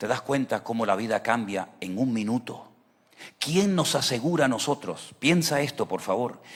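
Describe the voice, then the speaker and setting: This man talks at a moderate pace in a medium pitch, his intonation lively. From Venezuela. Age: 60s. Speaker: pastor. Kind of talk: sermon. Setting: church service, livestreamed. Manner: emphatic, rhetorical questions.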